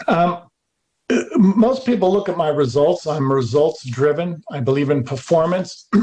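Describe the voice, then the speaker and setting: The speaker goes at a fairly slow pace with lively intonation. It is an unremarkable speaking voice. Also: man, fairly high pitch for a man. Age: 60s. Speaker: alternative energy researcher. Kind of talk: interview.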